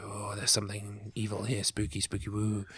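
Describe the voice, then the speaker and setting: A man whispers in a put-on character voice at a fairly quick pace. Background noise is clearly audible. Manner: spooky.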